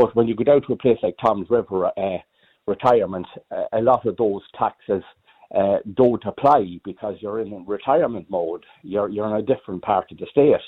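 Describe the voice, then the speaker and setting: A man talks at a moderate pace, his fairly low pitch moving with ordinary pitch variation. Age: 60s. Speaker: caller. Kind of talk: phone-in radio chat. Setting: phone call.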